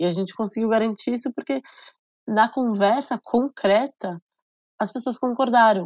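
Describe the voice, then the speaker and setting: Speech comes at a moderate pace, broken by long, frequent pauses. The recording is very clean, dry and close, with a silent background and no echo. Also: woman, fairly high pitch for a woman, ordinary pitch variation. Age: 30s. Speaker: state legislator. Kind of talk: interview.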